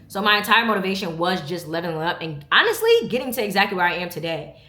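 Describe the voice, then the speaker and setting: In a room with audible echo and noticeable background noise, a woman talks at a very fast pace, her medium-pitched voice animated and showing ordinary pitch variation. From New York, Brooklyn. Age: 20s. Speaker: vlogger. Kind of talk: casual chat.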